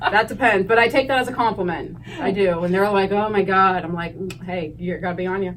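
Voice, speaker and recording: Over noticeable background noise and audible room echo, a woman with an American accent talks at a fairly quick pace, medium pitch and ordinary pitch variation. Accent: Pennsylvania accent, per others. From northeast Ohio (Hubbard, near Youngstown). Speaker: high school teacher. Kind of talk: interview.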